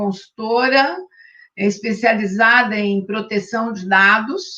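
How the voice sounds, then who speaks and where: This woman speaks very slowly in a fairly high pitch with ordinary pitch variation. Her tone is bright and sharp. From Brazil, interior of São Paulo state. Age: 60s. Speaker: retired judge and spiritist association president. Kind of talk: interview. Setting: live-streamed online interview.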